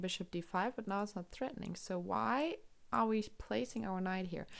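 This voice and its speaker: The recording is very clean, with a silent background. A woman with a German accent speaks at a moderate pace. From Germany. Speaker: chess streamer and commentator. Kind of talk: live commentary. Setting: live stream.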